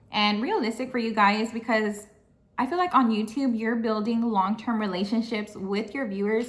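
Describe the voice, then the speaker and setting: Somewhat breathy, a woman speaks fairly quickly at a fairly high pitch with ordinary pitch variation. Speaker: vlogger and administrative assistant. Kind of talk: casual vlog chat.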